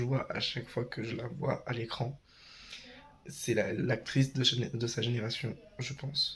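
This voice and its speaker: A man at medium pitch speaks at a very slow pace. His intonation is fairly even. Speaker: vlogger. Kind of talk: vlog. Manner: hesitant.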